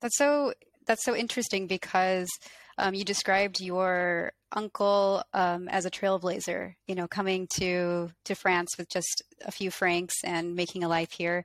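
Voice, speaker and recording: On a very clean recording with a silent background and a dry, close sound with no echo, a woman with an unremarkable speaking voice talks at a medium pitch, with fairly even intonation and a fairly slow pace. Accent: American. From Colorado, US. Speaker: painter and video artist, interviewer. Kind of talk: casual interview, asking questions.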